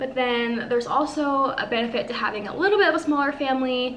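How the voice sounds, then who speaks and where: Someone with an American accent speaks at a fairly quick pace. The room echo is audible, and there is noticeable background noise. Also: woman. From Northern California. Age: 20s. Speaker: lifestyle vlogger. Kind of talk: casual chat.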